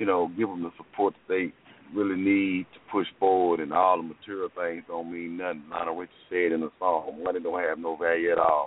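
Monotone, flat intonation at a moderate pace. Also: man. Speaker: caller. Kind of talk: casual chat. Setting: phone call.

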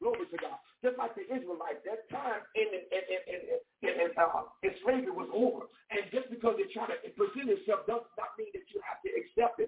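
A woman speaks at a fairly quick pace with a medium pitch. Her pitch swings widely, and her voice has a slightly husky edge.

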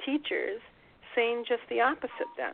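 A woman's fairly high-pitched voice comes through amid noticeable background noise. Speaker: radio host. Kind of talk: radio interview. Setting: internet radio show.

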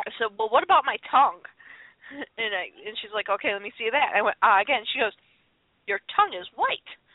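A woman with an American accent talks at a fairly quick pace in a fairly high pitch with ordinary pitch variation. It is a plain, everyday voice, with big swings in loudness. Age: 30s. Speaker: podcast host. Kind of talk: casual chat. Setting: internet radio call-in show.

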